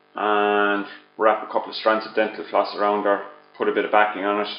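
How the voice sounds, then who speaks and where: A man's monotone, flat delivery over music in the background. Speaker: vaping product reviewer. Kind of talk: video review. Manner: loud. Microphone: laptop headset mic held far from mouth.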